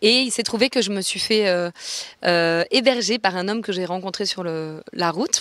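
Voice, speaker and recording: Lively intonation and a moderate pace from a woman with a plain, everyday voice. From born in Venezuela, raised in many countries. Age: 30s. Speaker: musician and masterclass teacher. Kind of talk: interview.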